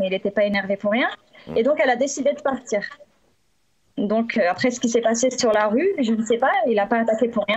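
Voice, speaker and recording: Fairly quick speech with long, frequent pauses and ordinary pitch variation, against a quiet background. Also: woman. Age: 30s. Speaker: dog bite victim, witness; witness. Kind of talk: testimony. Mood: serious, slightly hesitant. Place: home room. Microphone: video call.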